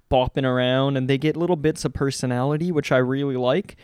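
A man talks at a fairly quick pace in an unremarkable speaking voice of medium pitch, with fairly even intonation. The background is quiet, and the sound is dry and close with no echo. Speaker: podcast co-host. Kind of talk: casual chat.

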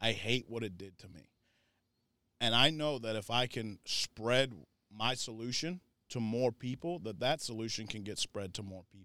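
In a very clean recording with a silent background, a man talks at a moderate pace with an ordinary speaking voice. His pitch variation is ordinary, though his loudness swings a lot. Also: medium pitch for a man. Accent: American. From Florida. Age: 30s. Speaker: recovery nonprofit leader. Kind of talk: personal testimony.

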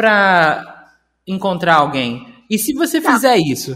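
A man's voice comes through bright and sharp in tone, with lively intonation. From Rio de Janeiro, Brazil. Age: 30s. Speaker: podcast participant. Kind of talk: casual chat.

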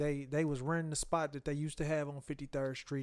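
This man's voice sits fairly high in pitch. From Chicago. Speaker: rapper. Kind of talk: casual chat. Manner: animated.

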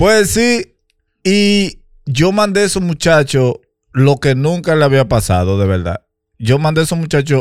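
Fairly high male voice with very wide pitch swings on a very clean recording with a silent background. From Dominican Republic, Santo Domingo. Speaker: podcast co-host. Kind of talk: casual chat.

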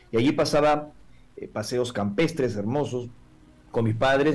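In an unremarkable speaking voice, a man talks at a moderate pace with medium pitch and ordinary pitch variation. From Peru, Lima. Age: 40s. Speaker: UFO contactee and lecturer. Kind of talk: interview testimony. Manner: formal.

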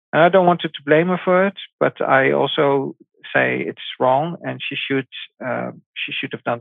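With a Dutch accent, a man talks at a moderate pace. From Netherlands. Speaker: parent of abducted child. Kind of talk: interview. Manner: halting.

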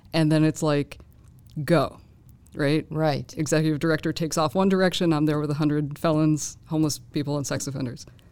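Speaking at a fairly quick pace, a woman with an American accent uses a very deep, low pitch and fairly even intonation. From Boston. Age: 40s. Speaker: graduate student. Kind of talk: panel discussion.

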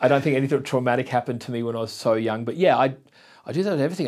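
In an Australian accent, a man talks at a very fast pace with ordinary pitch variation. The recording is very clean, with a silent background. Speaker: podcast host and photographer. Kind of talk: casual interview chat.

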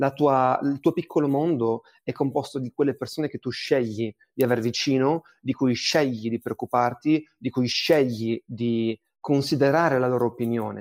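A man speaks in a normal speaking voice at medium pitch, with fairly even intonation and a moderate pace, in a dry, close sound with no echo. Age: 20s. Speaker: data science manager. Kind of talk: casual discussion.

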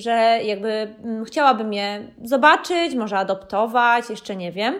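At a moderate pace, a woman speaks in a high voice with ordinary pitch variation. The recording is very clean, with a silent background. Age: 30s. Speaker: podcast host, dog owner and pet fair organiser. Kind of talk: solo podcast monologue. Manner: casual, with hesitations.

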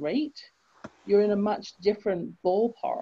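Speaking at a fairly slow pace with an English accent, a woman uses ordinary pitch variation and a dark, mellow tone. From England. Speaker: author and confidence coach. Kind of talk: interview.

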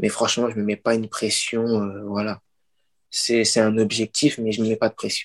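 A man talks at a moderate pace with monotone, flat intonation in a dry, close sound with no echo. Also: medium pitch for a man. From Paris region (Pantin), France. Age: 20s. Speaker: author. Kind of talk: interview. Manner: halting.

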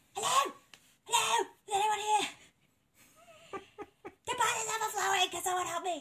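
An extremely high-pitched put-on character voice at a moderate pace, with long, frequent pauses

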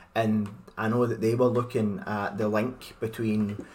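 A man with a Scottish accent speaks at a very slow pace. His fairly low voice has monotone, flat intonation. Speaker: podcast host. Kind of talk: casual chat.

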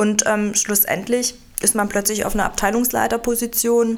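Amid noticeable background noise, a woman speaks at a moderate pace and fairly high pitch, in a flat monotone. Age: 40s. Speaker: HR director and lawyer. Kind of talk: interview. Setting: studio. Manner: hesitant with frequent fillers.

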